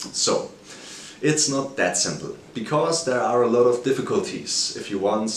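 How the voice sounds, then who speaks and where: A man with a medium pitch and a German accent speaks at a moderate pace with lively intonation, amid noticeable background noise and audible room echo. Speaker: finance video creator. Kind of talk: video commentary on a stock. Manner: halting, some self-corrections.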